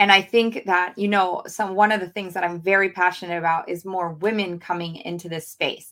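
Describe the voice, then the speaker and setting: A woman at medium pitch, fairly quick pace, hardly any pauses. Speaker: podcast host. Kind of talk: pep talk; podcast monologue. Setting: podcast, video screen-share. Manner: passionate, urgent, motivational; animated, emphatic, direct address.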